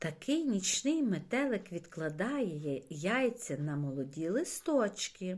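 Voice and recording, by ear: The passage is read aloud in a natural voice.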